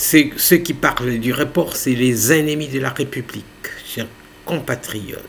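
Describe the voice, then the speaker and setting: A man speaks at a very slow pace against light background noise. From DR Congo. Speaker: YouTube news channel host; political commentator. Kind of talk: casual commentary. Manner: hesitant, filler-heavy. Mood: earnest, persuasive. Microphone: webcam.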